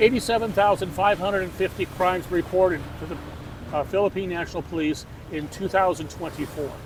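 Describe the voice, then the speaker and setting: A man with an American accent and a high pitch, at a fairly quick pace with big swings in loudness, over noticeable background noise. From San Diego, California, USA. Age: 70s. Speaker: American expat. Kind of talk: interview answer. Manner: passionate.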